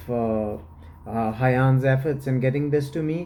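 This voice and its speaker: A man's medium-pitched, somewhat breathy voice with a dark, mellow tone and audible room echo. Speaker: fragrance reviewer. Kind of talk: product review. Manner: halting, many fillers.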